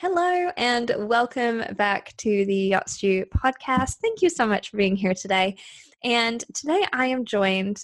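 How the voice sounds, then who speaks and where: A woman speaks in a plain, everyday voice at a fairly high pitch and a fairly slow pace, with lively intonation, on a very clean recording with a silent background and a dry, close sound with no echo. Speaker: podcast host. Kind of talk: podcast interview.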